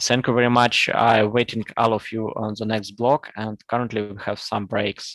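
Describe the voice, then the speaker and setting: Speaking in a Russian accent, a man talks at a moderate pace and medium pitch with monotone, flat intonation and hardly any pauses. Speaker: conference session chair. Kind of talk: conference moderation. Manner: halting.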